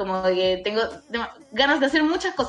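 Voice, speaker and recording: Very fast speech with a Chilean accent and lively intonation, over noticeable background noise. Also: woman. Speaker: actress. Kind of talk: casual interview.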